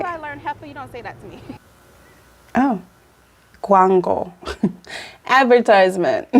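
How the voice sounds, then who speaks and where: At a moderate pace, a woman talks in an American accent with noticeable background noise. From Atlanta, Georgia, USA. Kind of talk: casual talk to camera. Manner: upbeat.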